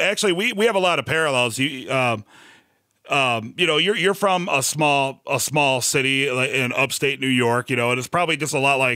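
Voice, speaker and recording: This man speaks fairly quickly with an American accent and lively intonation. His tone is bright and sharp, and the recording is very clean with a silent background. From US Midwest. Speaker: podcast host. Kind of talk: casual chat.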